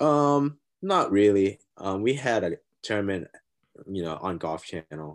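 Against a quiet background, a man with a Thai accent speaks fairly slowly in a fairly low voice with lively intonation. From Thailand. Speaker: college golfer. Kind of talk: casual interview. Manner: halting.

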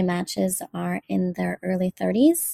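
A woman's dark, mellow voice at a fairly slow pace, with a dry, close sound and no echo. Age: 40s. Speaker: listener leaving voicemail. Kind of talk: voicemail message.

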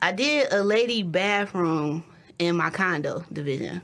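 Her voice sits fairly low. Background noise is clearly audible behind this woman. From Detroit, Michigan. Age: 30s. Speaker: building contractor. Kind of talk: casual chat.

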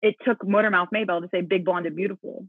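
A woman has an unremarkable speaking voice at a medium pitch. Her pitch variation is ordinary. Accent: American. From US South, Mississippi. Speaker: musical theater actress. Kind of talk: casual interview.

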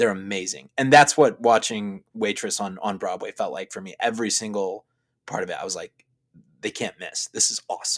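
With an American accent, a man talks at a fairly quick pace with big swings in loudness, in a dry, close sound with no echo. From US Midwest, Chicago. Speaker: seminary student. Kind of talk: casual chat. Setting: recording in a closet.

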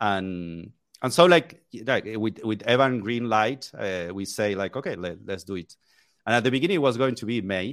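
A fairly low-pitched man with a Spanish accent and lively intonation. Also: moderate pace. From Argentina. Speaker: software developer. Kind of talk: casual chat. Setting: video call.

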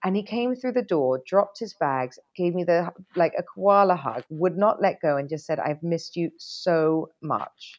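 A woman with a plain, everyday voice, fairly low pitch, lively intonation, moderate pace and hardly any pauses. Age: 40s. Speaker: TV and radio presenter. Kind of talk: casual chat. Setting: video call.

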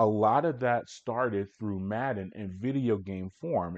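In an unremarkable speaking voice, a man talks fairly slowly at a fairly low pitch with ordinary pitch variation. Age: 40s. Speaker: sports podcast host. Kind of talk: solo sports recap.

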